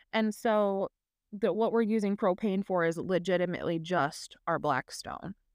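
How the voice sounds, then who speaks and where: A woman with an American accent has an unremarkable speaking voice of medium pitch, ordinary pitch variation, very even loudness and a moderate pace, recorded with a dry, close sound with no echo. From Minnesota, Twin Cities. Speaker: podcast co-host, homesteader. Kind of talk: casual chat. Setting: video call.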